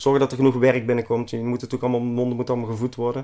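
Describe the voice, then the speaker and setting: The speaker is a man at a medium pitch. His tone is dark and mellow. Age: 40s. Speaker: tiling business owner. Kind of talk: casual interview. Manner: energetic.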